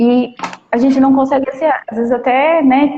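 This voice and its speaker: Pitched high, a woman speaks at a fairly quick pace. Her intonation stays fairly even. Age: 30s. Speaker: preschool teacher. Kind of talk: casual chat. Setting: live stream.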